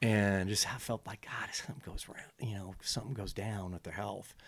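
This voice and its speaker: A man with a fairly low pitch uses an ordinary speaking voice. He talks at a fairly quick pace. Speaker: surf brand owner. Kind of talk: casual chat.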